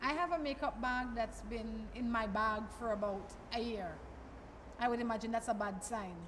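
Light background noise surrounds the voice. A woman speaks at a moderate pace. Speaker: TV show host. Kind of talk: interview questions, casual chat. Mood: cheerful, laughing. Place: shop. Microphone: handheld.

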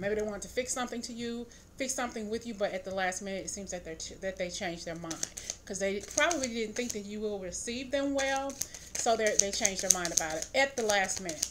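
A woman talks at a very fast pace with ordinary pitch variation. Noticeable background noise runs underneath. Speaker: tarot reader. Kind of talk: tarot reading commentary. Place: home room. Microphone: phone near.

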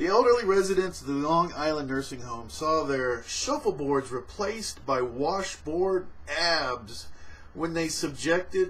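A man speaks with lively intonation. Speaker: vlogger. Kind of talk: casual news commentary. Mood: amused. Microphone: webcam.

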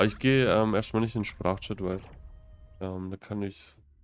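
Speaking at a fairly quick pace, a man keeps a fairly low pitch and monotone, flat intonation. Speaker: gaming streamer. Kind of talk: live stream gameplay commentary. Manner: casual, laughs often.

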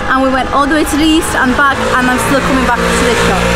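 Music plays in the background as a woman speaks fairly quickly. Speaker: travel vlogger. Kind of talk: casual vlog chat. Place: street. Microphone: phone near.

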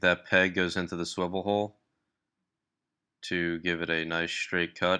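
This man's very deep, low voice has a bright, sharp tone and a monotone, flat intonation. He speaks at a moderate pace against a quiet background. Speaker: hobby lure maker. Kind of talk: tutorial voice-over. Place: workshop. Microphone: phone near.

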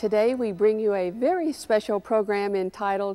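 With music in the background, a woman talks at a fairly slow pace. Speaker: television music program host. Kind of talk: presenter introduction. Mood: warm, gracious. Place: church. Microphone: lapel.

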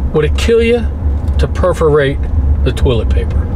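Noticeable background noise behind a man's moderate pace. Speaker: road trip vlogger. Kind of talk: casual vlog chat. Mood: jokey, mildly ranting. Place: car. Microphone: phone near.

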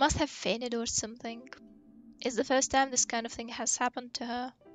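Fairly quick, monotone, flat speech from a woman with a high voice, music in the background. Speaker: gaming video creator. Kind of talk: reading video game dialogue aloud.

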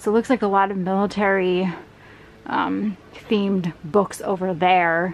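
A woman at a very slow pace, with light background noise. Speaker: storage unit reseller. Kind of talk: casual vlog chat. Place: garage. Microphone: camera far.

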